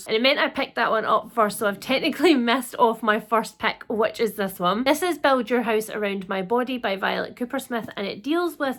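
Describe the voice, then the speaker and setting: In a Scottish accent, a woman talks at a fairly quick pace with hardly any pauses and ordinary pitch variation. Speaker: book reviewer.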